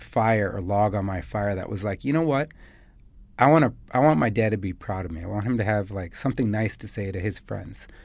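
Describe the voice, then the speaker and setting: Lively intonation and a fairly quick pace with a Chicago accent, in a very clean recording against a silent background. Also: man. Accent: Chicago American. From US Midwest, Chicago. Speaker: business founder and CEO. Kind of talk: interview. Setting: studio.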